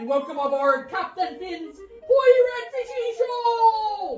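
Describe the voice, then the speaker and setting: A cartoonish character voice at an extremely high pitch, with very wide pitch swings and a fairly slow pace, plays over clear music in the background. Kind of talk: comedic puppet show host. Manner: exaggerated pirate talk.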